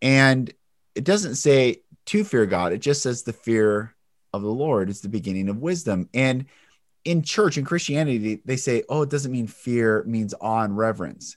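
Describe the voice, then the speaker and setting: A man uses a normal speaking voice, medium in pitch and moderate in pace. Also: lively intonation. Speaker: podcast host. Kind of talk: interview conversation.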